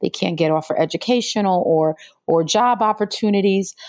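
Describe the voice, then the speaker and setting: In a dry, close recording with no echo, a woman with a plain, everyday voice speaks at a moderate pace with ordinary pitch variation. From New York City. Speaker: environmental justice attorney and activist. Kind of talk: interview.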